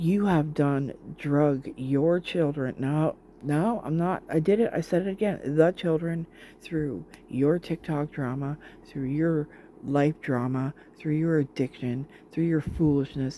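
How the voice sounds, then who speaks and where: A dark, mellow tone at a fairly slow pace. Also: woman, very deep, low pitch for a woman, ordinary pitch variation. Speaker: commentary youtuber reacting to videos. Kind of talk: reaction commentary. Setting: at home, living room with sick father. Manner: heated; talking quietly. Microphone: hard to hear, sound problems.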